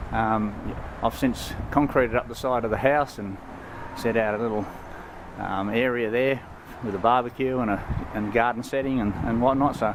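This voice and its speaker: A man with an Australian accent speaks at a moderate pace and medium pitch, with fairly even intonation. He leaves long, frequent pauses, and noticeable background noise is present. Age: 60s. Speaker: product reviewer. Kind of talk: product review. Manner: halting, many fillers.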